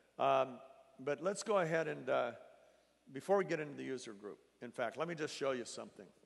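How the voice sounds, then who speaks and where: This man talks at a fairly quick pace with a fairly high pitch, vocal fry and lively intonation, broken by long, frequent pauses. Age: 60s. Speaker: company founder. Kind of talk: sales presentation. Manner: halting.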